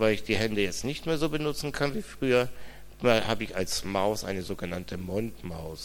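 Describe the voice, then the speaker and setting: There is audible room echo as a man with vocal fry speaks at a fairly quick pace. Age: 50s. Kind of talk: interview testimony in church service.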